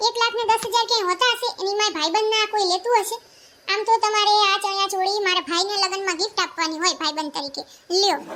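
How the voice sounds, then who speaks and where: In a cartoonish character voice, a woman talks at a fairly quick pace with an extremely high pitch and ordinary pitch variation. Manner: sharp-tongued, sarcastic.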